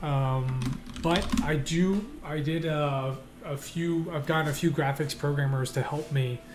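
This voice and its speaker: A fairly high-pitched man at a fairly slow pace, with audible room echo and noticeable background noise. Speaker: indie game developer and streamer. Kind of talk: live stream commentary while working. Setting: live stream from home desk. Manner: hesitant, many repeats and fillers.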